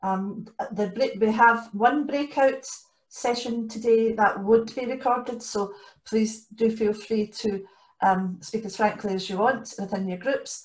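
A woman speaks with a somewhat breathy voice and fairly even intonation. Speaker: co-leader hosting an online training session. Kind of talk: meeting housekeeping announcements. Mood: friendly and orderly. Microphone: video call.

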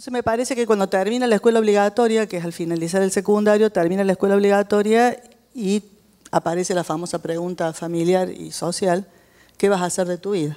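A woman's dark, mellow tone at a very fast pace, with ordinary pitch variation against a quiet background. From Argentina, Córdoba; Argentina. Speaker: educational psychologist and writer; speaker. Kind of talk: public talk. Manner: animated. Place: hall. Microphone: handheld.

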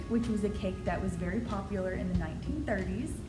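Over clear music in the background, a woman talks at a very fast pace. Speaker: presenter. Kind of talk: casual presentation to camera. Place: office. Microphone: camera far.

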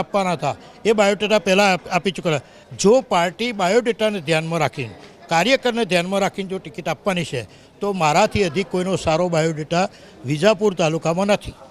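A man's voice, high in pitch, with ordinary variation in that pitch. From north Gujarat (Mehsana district), India. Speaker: local politician. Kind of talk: news interview.

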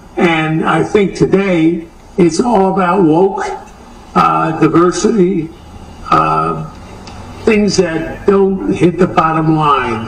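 Amid noticeable background noise, a man with a high-pitched voice speaks very slowly with fairly even intonation. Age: 80s+. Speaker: businessman, home improvement chain co-founder. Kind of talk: TV news interview answer.

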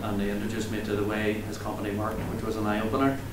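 Noticeable background noise and audible room echo surround a man speaking with a Northern Irish accent. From Northern Ireland. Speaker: outdoor activity company founder introducing a speaker. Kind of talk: speaker introduction. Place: meeting room. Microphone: camera far.

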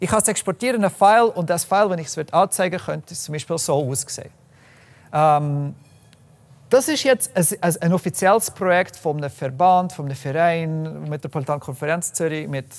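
Ordinary pitch variation and a moderate pace in a man's high voice. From Canada, Calgary, Alberta. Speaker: software developer and open data activist; presenter. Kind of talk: presentation talk. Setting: room with live audience. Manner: halting, many fillers. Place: meeting room.

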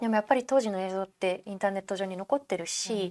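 This woman's fairly quick speech carries fairly even intonation. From Japan. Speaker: photojournalist. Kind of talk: interview. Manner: calm, matter-of-fact. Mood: calm, matter-of-fact telling. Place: studio. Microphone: lapel.

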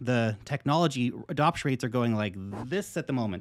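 Speaking at a moderate pace, a man uses an animated tone and lively intonation. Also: quiet background. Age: 30s. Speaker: crypto investing YouTuber. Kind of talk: direct-to-camera monologue. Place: home room.

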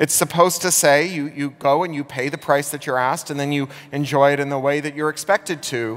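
A man talks at a fairly quick pace. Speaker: conference speaker. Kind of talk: keynote talk. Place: stage. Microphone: headset.

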